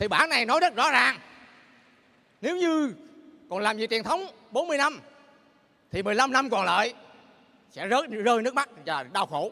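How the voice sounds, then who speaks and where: A man with a Southern Vietnamese accent speaks in a raised, projected voice at an extremely high pitch with very wide pitch swings. His pace is fairly slow, with long, frequent pauses. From Bến Tre, southern Vietnam. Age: 50s. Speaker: direct-sales distributor giving a success story. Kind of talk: motivational pitch, rally testimony to a large audience. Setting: stage with audience. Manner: earnest and persuasive, repeats 'anh chị', builds emotional momentum.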